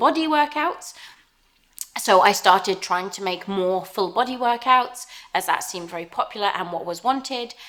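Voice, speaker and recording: A woman speaks with an English accent at a fairly quick pace. Her pitch is medium. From southern England, Southampton. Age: 30s. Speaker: fitness YouTuber. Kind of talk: casual Q&A vlog. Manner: hesitant, many fillers.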